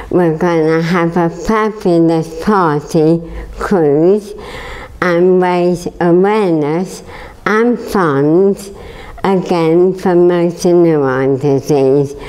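A woman with an English accent speaks at a very slow pace in a fairly low pitch with ordinary pitch variation. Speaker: charity fundraiser. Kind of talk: interview answer. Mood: upbeat, determined.

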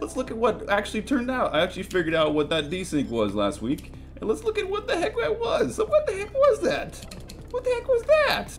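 With faint music in the background, a man speaks fairly quickly. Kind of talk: tutorial.

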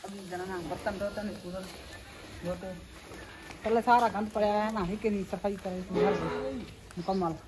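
A woman's slightly mellow voice at medium pitch, fairly even in intonation and moderate in pace, with faint background noise.

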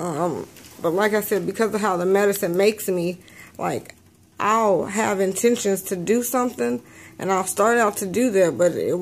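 Ordinary pitch variation and a moderate pace in a woman's voice. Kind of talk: casual vlog chat. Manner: sleepy, slowed medicated speech. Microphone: phone near.

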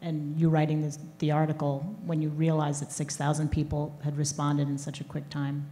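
A woman talks at a moderate pace with a very deep, low pitch. Her tone is dark and mellow, and somewhat breathy. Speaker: sports columnist; interviewer. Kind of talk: onstage interview. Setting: stage with audience. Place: stage. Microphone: handheld.

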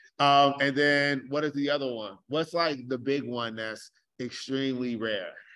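A normal speaking voice at a fairly slow pace, with fairly even intonation and a very clean recording over a silent background. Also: man, fairly high pitch for a man. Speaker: club member running a quiz. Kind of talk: quiz at club meeting. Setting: meeting room with audience.

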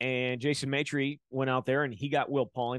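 The background is quiet as a man speaks in an American accent. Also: dry sound with no echo. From Wisconsin. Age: 40s. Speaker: sports podcast host. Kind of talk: sports recap and interview. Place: home room. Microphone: studio mic.

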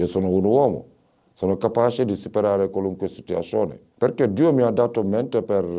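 This is a man's voice. It sits fairly low in pitch. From Senegal, Dakar. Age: 50s. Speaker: street vendor. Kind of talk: interview testimony. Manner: halting.

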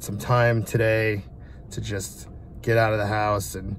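The voice has fairly even intonation in a dry sound with no echo and light background noise. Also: man. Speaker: vlogger. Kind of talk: casual vlog chat. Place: car. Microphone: phone near.

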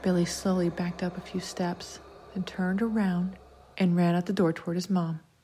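What we hear is plain reading aloud.

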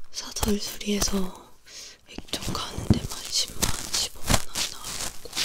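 Whispering, a woman speaks at a very slow pace. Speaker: ASMR creator. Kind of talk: ASMR ear cleaning with chatty talk. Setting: binaural microphone studio. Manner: soft-spoken, whispering, casual chat. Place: home room. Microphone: studio mic.

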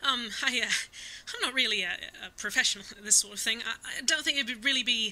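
A high-pitched, female-sounding put-on character voice at a moderate pace. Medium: audio drama. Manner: rambling, eager, scatterbrained.

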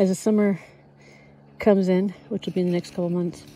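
A woman talks at a fairly quick pace in a fairly low pitch with monotone, flat intonation, in a dry recording with no echo and light background noise. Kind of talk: casual podcast narration. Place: farm machine.

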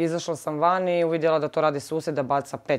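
Fairly quick speech from a woman with a very deep, low pitch, against a quiet background. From Zagreb, Croatia; Croatia. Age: 30s. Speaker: victim of assault. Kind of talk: testimony. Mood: upset, serious. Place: home room. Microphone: lapel.

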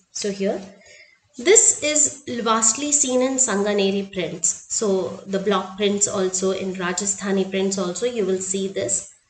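In an Indian accent, a woman speaks fairly slowly with ordinary pitch variation, and the room echo is audible. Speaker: art teacher. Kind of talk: tutorial. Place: home room. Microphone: webcam.

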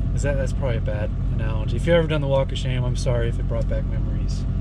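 A man with an American accent over loud background noise. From California. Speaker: travel vlogger. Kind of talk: casual chat. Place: car. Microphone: camera far.

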